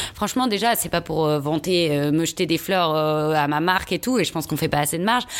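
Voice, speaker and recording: A woman's normal speaking voice, fairly low in pitch with ordinary variation, at a fairly quick pace with hardly any pauses. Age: 30s. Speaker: fashion brand founder. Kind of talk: casual chat.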